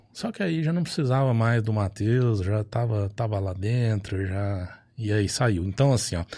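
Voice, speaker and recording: A man speaks with a São Paulo interior accent at a fairly low pitch. His pace is fairly slow, in a very clean recording over a silent background. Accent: Franca (São Paulo interior). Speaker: advertising and political marketing agency owner, volunteer group founder. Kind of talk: casual chat.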